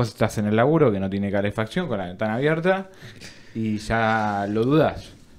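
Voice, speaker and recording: The speaker is a man with a fairly low pitch. His intonation is lively. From Argentina. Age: 20s. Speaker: podcast co-host, university student; podcast co-host. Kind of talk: casual chat. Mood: joking, relaxed. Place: studio. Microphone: studio mic.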